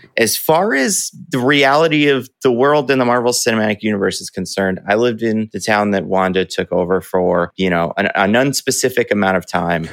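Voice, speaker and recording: Speaking at a fairly quick pace with hardly any pauses, a man with an American accent has an unremarkable speaking voice, fairly low pitch and lively intonation, recorded very cleanly against a silent background with a dry, close sound and no echo. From northeast New Jersey, Bergen County. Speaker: YouTuber and video editor. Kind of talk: interview. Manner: casual.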